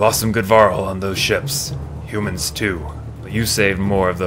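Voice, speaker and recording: Against loud background noise, a man puts on a character voice, speaking at a moderate pace in a fairly low pitch. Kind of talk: reading game dialogue aloud in let's play. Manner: overdone, theatrical voice acting.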